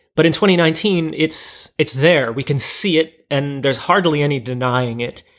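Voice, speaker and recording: Delivered in a plain, everyday voice at a moderate pace, the speech has ordinary pitch variation and hardly any pauses. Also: man, fairly high pitch for a man. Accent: American. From US, New Jersey, Portuguese American family. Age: 40s. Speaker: podcaster. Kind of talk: casual chat. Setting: at home dinner table.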